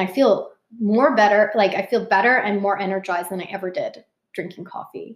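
At a fairly quick pace, a woman speaks in a normal speaking voice with medium pitch and fairly even intonation. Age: 30s. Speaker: brand partner and mother. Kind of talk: interview. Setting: at her home.

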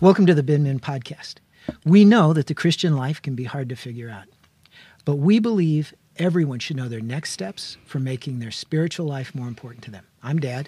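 Very clean recording with a silent background: a man's fairly high, dark, mellow voice, somewhat breathy, with lively intonation at a fairly quick pace. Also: big swings in loudness. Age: 60s. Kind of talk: casual chat.

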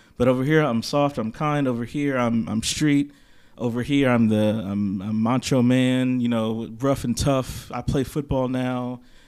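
A man talks in an ordinary speaking voice, medium in pitch and fairly slow. His intonation stays fairly even, and the recording is very clean with a silent background. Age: 30s. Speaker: podcast co-host, counselor and stay-at-home father. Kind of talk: casual chat.

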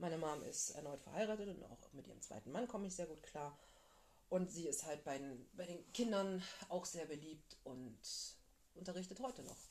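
At a moderate pace, a woman with a fairly low pitch and a dark, mellow tone speaks with lively intonation and big swings in loudness. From northern Germany, flatland. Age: 30s. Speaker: podcast co-host. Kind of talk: casual chat.

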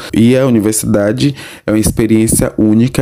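A man's fairly low, unremarkable speaking voice at a moderate pace. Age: 20s. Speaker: university student. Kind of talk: interview.

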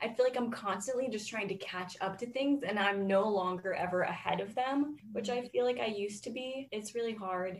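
Noticeable background noise sits under a voice with an American accent that runs on with hardly any pauses. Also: woman, fairly high pitch for a woman, ordinary pitch variation, fairly quick pace. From Florida. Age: 20s. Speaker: college student podcast co-host. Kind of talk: casual chat.

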